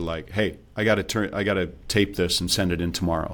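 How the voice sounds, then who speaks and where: With an American accent, the words come out at a fairly quick pace. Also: man. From US Midwest. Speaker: accent and dialect coach, voice professor. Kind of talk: interview. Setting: remote call.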